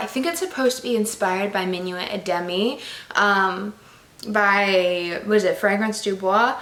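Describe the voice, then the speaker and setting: A woman in an animated tone, with audible room echo and noticeable background noise. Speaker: beauty YouTuber reviewing perfumes. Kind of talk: casual vlog review. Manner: fast; chatty, animated.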